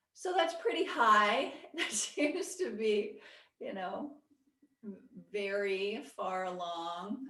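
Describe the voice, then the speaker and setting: A woman is speaking. Room echo is audible. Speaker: Buddhist meditation teacher. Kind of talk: lecture; casual chat. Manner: soft-spoken; halting.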